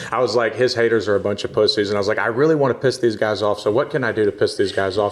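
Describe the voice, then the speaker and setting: Very fast talk from a man with an American accent, with noticeable background noise. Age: 30s. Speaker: jiu-jitsu blue belt and social media personality. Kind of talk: casual podcast interview.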